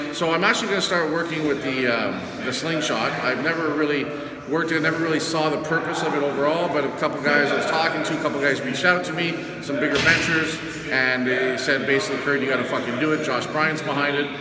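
Loud background noise fills this recording. Over it, a man speaks at a very fast pace. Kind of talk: casual vlog chat. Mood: frustrated but determined. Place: gym.

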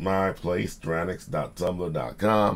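A man speaks with vocal fry at a very deep, low pitch over light background noise. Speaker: writer and video host; writing vlog host. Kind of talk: casual talk to camera. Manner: animated. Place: home room. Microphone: webcam.

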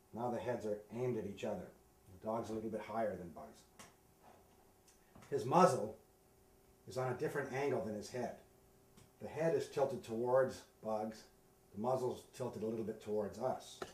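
The speech moves at a moderate pace with long, frequent pauses and ordinary pitch variation, heard with audible room echo and light background noise. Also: man. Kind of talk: tutorial. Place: home room.

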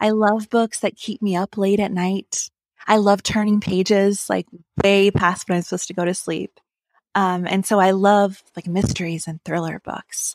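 A woman's medium-pitched, monotone voice with flat intonation and an American accent, dry and close with no echo, over a very clean, silent background. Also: moderate pace. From rural Ohio. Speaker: novelist. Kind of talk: interview.

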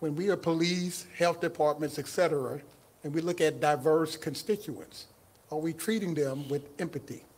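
A man with a Southern US accent and fairly even intonation. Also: fairly high pitch for a man, moderate pace. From Mississippi. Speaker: county equity director; guest. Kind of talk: casual chat. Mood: warm, earnest, welcoming. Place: stage. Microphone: handheld.

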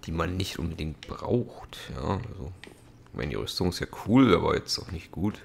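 A man talks with very deep pitch and lively intonation, with hardly any pauses. Background noise is noticeable. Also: moderate pace. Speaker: let's play gamer. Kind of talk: gameplay commentary. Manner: casual, frequent laughs.

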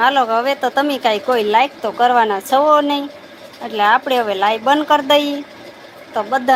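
Over noticeable background noise, a woman speaks in a high voice. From Gujarat, Bhavnagar district (Saurashtra). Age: 60s. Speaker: village live-streamer. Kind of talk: casual live stream chat with viewers.

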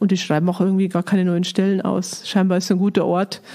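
The speech comes at a very fast pace with monotone, flat intonation over noticeable background noise. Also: woman. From Lower Bavaria, Germany. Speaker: director of a Bible society. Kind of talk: casual interview conversation.

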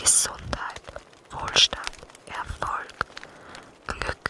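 There is noticeable background noise throughout. A woman whispers very slowly over it. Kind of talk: ASMR affirmation words. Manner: whispered.

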